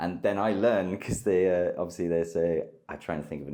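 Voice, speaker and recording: Speaking at a fairly quick pace, a man with a British accent uses ordinary pitch variation. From United Kingdom. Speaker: war correspondent. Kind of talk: interview answer.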